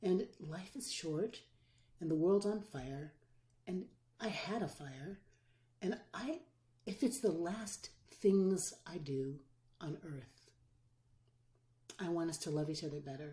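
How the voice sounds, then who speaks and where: A dark, mellow, somewhat breathy voice with lively intonation, at a very slow pace with long, frequent pauses. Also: woman, fairly low pitch for a woman. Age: 60s. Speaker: pastor and public theologian. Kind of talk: interview. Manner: animated.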